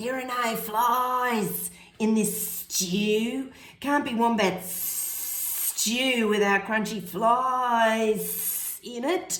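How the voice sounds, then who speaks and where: A put-on character voice, female-sounding and fairly high-pitched, at a very slow pace, with audible echo and hissing. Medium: read story.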